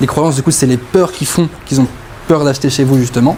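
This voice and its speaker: A man talks at a medium pitch with fairly even intonation. Noticeable background noise runs under his voice. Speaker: sales closing coach. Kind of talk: group coaching masterclass. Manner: fast.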